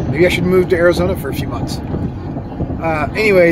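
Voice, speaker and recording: Against loud background noise, a man speaks at a moderate pace, the sound dry with no echo. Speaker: vlogger. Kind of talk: casual vlog chat. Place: car. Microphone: phone near.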